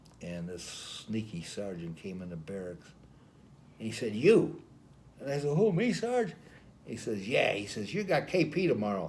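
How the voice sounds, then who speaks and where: A dark, mellow tone at a moderate pace, with very wide pitch swings. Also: man. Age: 80s+. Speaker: army veteran. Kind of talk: interview answer. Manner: storytelling, hesitant.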